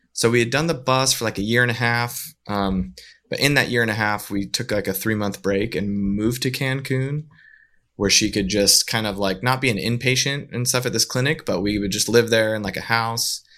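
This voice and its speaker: A man with a Western US accent, medium in pitch with a bright, sharp tone, at a fairly quick pace with ordinary pitch variation, in a very clean recording with a silent background. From northern Utah. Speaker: widower and full-time traveling parent. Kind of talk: casual interview.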